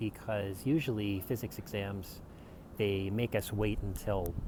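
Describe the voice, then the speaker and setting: Somewhat breathy and relaxed, a man's dark, mellow voice sits at a fairly low pitch and moves at a fairly slow pace. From Canada. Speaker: university student; English teacher. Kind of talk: casual talk to camera.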